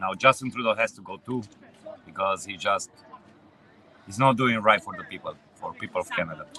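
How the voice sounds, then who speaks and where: A man speaks fairly quickly with a Romanian accent, leaving long, frequent pauses. His loudness swings widely, and noticeable background noise is present. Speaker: truck driver. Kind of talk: street interview. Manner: halting.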